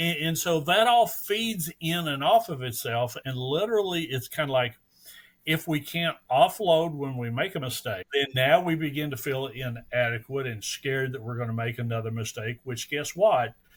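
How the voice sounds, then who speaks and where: The voice comes across as somewhat breathy. Its intonation is lively. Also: man, fairly high pitch for a man, moderate pace. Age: 60s. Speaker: EMS educator, program director. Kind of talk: casual podcast interview.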